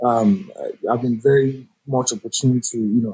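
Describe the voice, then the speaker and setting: This man's voice is somewhat breathy and medium in pitch, moving at a moderate pace. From Nigeria. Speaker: jazz saxophonist. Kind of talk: interview.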